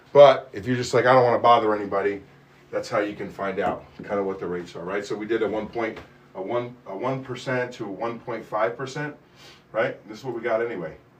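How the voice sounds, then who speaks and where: A man at a medium pitch talks at a very fast pace with big swings in loudness. Noticeable background noise and audible room echo fill the recording. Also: fairly even intonation. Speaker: mortgage loan officer. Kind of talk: live stream Q&A. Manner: casual rambling.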